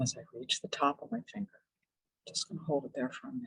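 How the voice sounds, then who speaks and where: A woman's voice, dry and close with no echo. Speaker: psychologist leading a relaxation workshop. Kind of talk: guided relaxation exercise in a workshop. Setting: virtual workshop video call. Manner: hesitant, many fillers; slow, calm guided pacing. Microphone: voice may be cutting out.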